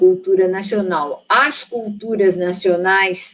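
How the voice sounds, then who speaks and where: A woman speaks very slowly, her pitch varying in an ordinary way. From São Paulo, Brazil. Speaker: theologian. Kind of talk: panel discussion. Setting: online live stream. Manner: halting.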